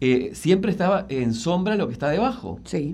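With vocal fry and very wide pitch swings, a man speaks at a moderate pace. Room echo is audible. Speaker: landscape designer and environmental columnist. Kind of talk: radio interview column. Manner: halting, with frequent repetitions.

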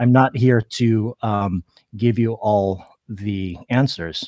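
A fairly low-pitched man with an American accent, in a dry, close sound with no echo. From Philippines. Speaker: artist and calligrapher. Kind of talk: interview. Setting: remote live stream. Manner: halting, many fillers.

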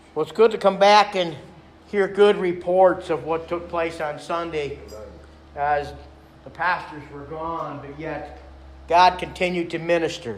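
Against noticeable background noise, a man speaks fairly slowly in a high pitch. He leaves long, frequent pauses. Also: fairly even intonation. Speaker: pastor. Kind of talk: sermon. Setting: church.

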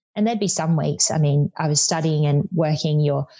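A woman with an Australian accent and a very deep, low pitch speaks at a fairly quick pace, somewhat breathy, with fairly even intonation. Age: 20s. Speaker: tax consultant. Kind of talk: interview.

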